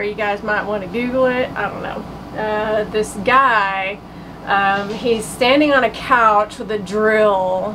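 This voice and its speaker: A woman with an Oklahoma accent speaks at a fairly slow pace in a fairly high pitch. Noticeable background noise and audible room echo surround her voice. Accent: Oklahoma, US South. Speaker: relationship coach, podcast co-host. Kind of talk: casual chat.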